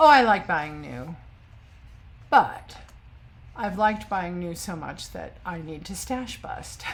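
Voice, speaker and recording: A woman talks at a very slow pace, with long, frequent pauses and big swings in loudness. Audible room echo surrounds her voice. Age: 60s. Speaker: sewing vlogger. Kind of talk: casual chat. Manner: hesitant, many fillers.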